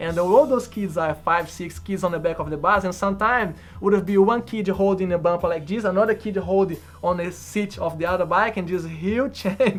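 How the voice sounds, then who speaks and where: Over music in the background, a man with a Portuguese accent speaks at a fairly quick pace in a high pitch. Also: ordinary pitch variation. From Brazil. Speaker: bus driver. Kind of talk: documentary interview.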